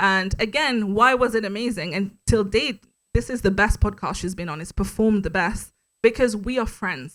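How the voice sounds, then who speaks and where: The recording is very clean, with a silent background. A woman with a French accent talks at a fairly high pitch with ordinary pitch variation. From Mauritius. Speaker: podcast host, guest speaker. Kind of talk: panel interview at live meetup. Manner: casual, confident.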